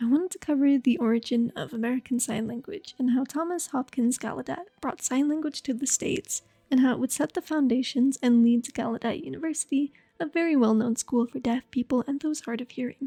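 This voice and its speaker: A soft-spoken woman's high-pitched voice, dark and mellow in tone, with ordinary pitch variation. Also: fairly quick pace, hardly any pauses, dry, close sound with no echo. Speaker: voice actor. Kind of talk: educational history narration. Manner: casual.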